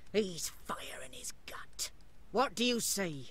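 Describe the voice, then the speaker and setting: A whispering, put-on character voice. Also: fairly slow pace. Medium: video game. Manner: coarse, mocking.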